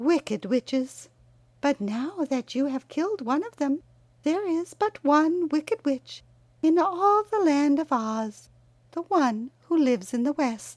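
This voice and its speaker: A female-sounding voice does a put-on character voice, high in pitch. The delivery moves at a fairly slow pace. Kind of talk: storybook character reading. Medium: read story. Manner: sweet, calm, courteous.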